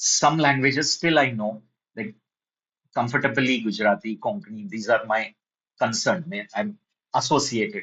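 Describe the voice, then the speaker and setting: A moderate pace and ordinary pitch variation, in a Marathi Indian accent. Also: man. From India (Maharashtra). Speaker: programming teacher. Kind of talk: online lecture.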